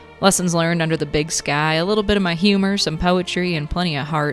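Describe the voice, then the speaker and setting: A woman with a very deep, low pitch talks at a fairly quick pace with ordinary pitch variation, with music in the background. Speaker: podcast host; poet. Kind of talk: podcast introduction.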